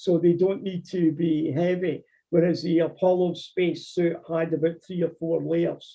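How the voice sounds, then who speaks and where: In a Scottish accent, a man talks at a high pitch with monotone, flat intonation. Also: moderate pace. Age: 60s. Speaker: amateur astronomer lecturer. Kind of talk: Q&A after lecture. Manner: halting, repeats words.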